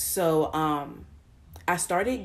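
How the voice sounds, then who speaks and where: Through audible room echo, a woman speaks with a very deep, low pitch and ordinary pitch variation. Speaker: vlogger. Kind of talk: casual monologue. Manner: quiet, keeping voice down; halting, many fillers.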